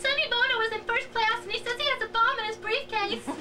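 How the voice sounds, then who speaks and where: Over faint music in the background, a squeaky, put-on character voice at an extremely high pitch races along at a very fast pace. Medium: stage play. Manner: hesitant, apologetic.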